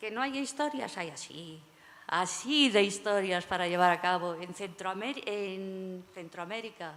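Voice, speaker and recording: With an unremarkable speaking voice, a woman talks at a fairly slow pace in a medium pitch, her intonation lively and her loudness swinging widely. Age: 60s. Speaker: panel moderator. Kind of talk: panel discussion.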